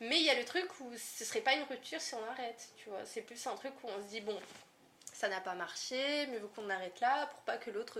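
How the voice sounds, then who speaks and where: A woman talks at a moderate pace with a high pitch and ordinary pitch variation. Noticeable background noise sits behind her voice. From northern France, Lille. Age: 20s. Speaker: content moderator. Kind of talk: casual chat.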